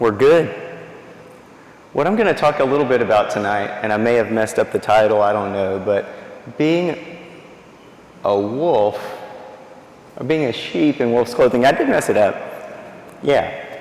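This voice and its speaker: With an American accent, a man at medium pitch talks at a moderate pace with lively intonation and long, frequent pauses. Audible room echo and noticeable background noise fill the recording. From East Texas. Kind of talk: faith talk to a church audience. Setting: church with audience and microphone. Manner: animated.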